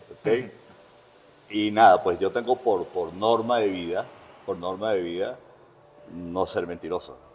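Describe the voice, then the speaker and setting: Over background music, a man with a fairly low voice speaks fairly slowly in a Caracas accent, leaving long, frequent pauses. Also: ordinary pitch variation. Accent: Venezuelan, Caracas. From Venezuela, Caracas (born in Bogotá, moved at 13-14). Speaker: veteran barber. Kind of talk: interview, casual conversation. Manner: hesitant, repeats words.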